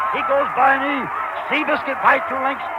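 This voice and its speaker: A man's raised, projected voice at an extremely high pitch, excited in tone, over noticeable background noise. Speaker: sportscaster. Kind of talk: live horse race call. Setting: outdoors. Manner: fast, excited.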